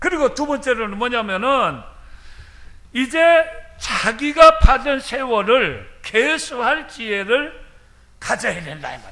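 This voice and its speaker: A man with an extremely high pitch and a bright, sharp tone raises and projects his voice at a very slow pace. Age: 70s. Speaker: retired senior pastor. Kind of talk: sermon. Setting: church.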